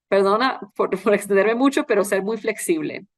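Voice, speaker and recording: Lively intonation from a medium-pitched woman against a quiet background. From Costa Rica. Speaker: journalist, foreign correspondent. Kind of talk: interview answers.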